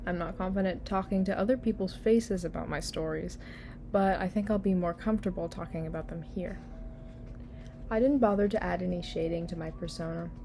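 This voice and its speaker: The voice is dark and mellow with vocal fry, moving at a fairly quick pace. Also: woman, medium pitch for a woman. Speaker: digital artist and channel creator. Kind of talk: voiceover narration over speed paint. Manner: low-energy, unenthusiastic.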